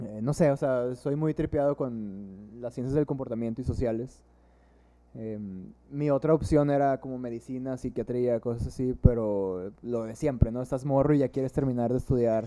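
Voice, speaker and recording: Speech moves at a moderate pace over a quiet background. The tone is dark and mellow, with fairly even intonation. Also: man, medium pitch for a man. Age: 20s. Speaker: drummer and psychologist. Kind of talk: casual chat.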